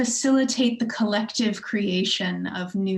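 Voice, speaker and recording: In a plain, everyday voice with an American accent, a woman speaks at a fairly slow pace with ordinary pitch variation. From US Midwest, Chicago suburb. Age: 30s. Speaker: theatre director. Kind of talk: interview conversation. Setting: video call.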